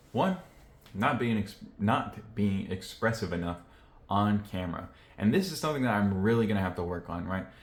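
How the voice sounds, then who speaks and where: Somewhat breathy speech at a moderate pace, broken by long, frequent pauses. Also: man, fairly low pitch for a man. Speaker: YouTuber vlogger. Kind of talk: casual vlog talk to camera. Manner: monotone; low-energy, reserved.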